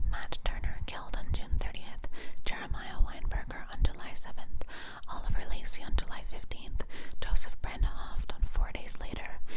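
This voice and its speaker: A woman whispering at a moderate pace amid noticeable background noise. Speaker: ASMR content creator. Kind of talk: ASMR true crime reading from a book. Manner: whispered, soft.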